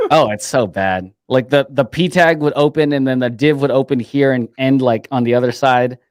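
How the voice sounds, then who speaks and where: A man talks at a moderate pace with hardly any pauses and ordinary pitch variation, a plain, everyday voice recorded dry and close with no echo. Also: medium pitch for a man. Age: 30s. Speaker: developer advocate, co-host. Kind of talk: casual chat.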